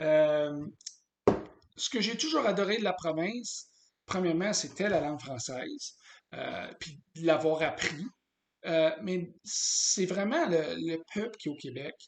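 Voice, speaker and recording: A man with an English accent speaks at a very slow pace in a high voice, his intonation lively and broken by long, frequent pauses. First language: English (speaking French). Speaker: business consultant. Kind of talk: sales pitch. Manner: halting, many hesitations.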